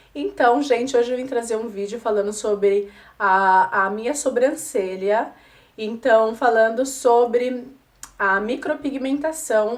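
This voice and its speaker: A woman talks very slowly, her fairly high pitch rising and falling in an ordinary way. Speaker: beauty vlogger. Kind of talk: casual vlog talk.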